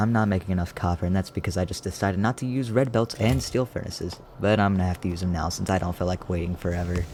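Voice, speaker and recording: A man talks quietly at a very fast pace, his pitch very deep and low with ordinary variation. Noticeable background noise is present. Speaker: gaming YouTuber. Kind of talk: gameplay commentary.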